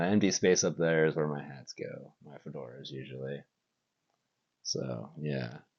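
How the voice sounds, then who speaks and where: A man talks at a fairly slow pace with a very deep, low pitch. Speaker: warehouse worker. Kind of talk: casual talk to camera. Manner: monotone.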